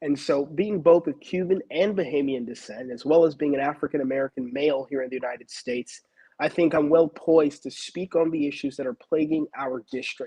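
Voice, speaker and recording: A man with an unremarkable speaking voice, ordinary pitch variation and a fairly quick pace. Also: fairly high pitch for a man. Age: young. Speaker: school board candidate. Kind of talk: interview. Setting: live stream.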